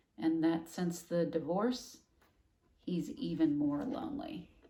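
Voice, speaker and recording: A woman with a fairly low pitch and a dark, mellow tone swings very widely in pitch, with audible room echo. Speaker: school teacher. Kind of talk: online lesson for students. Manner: casual, hesitant with fillers.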